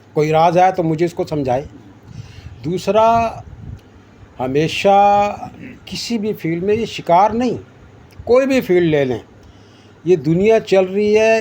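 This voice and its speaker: A man's high-pitched voice carries a dark, mellow tone and ordinary pitch variation. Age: 60s. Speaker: veteran angler. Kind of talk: casual talk.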